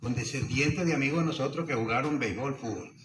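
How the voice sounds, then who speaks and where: Noticeable background noise and audible room echo, with ordinary pitch variation. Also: man. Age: 70s. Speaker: former baseball player, panel speaker. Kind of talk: panel talk sharing anecdotes.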